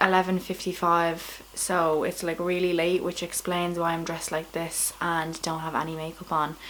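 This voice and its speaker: With hardly any pauses, a woman talks at a moderate pace in a Dublin accent. Her intonation is monotone and flat. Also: fairly low pitch for a woman. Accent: Irish, Dublin. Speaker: comedian. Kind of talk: casual vlog talk to camera. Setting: at home, late at night.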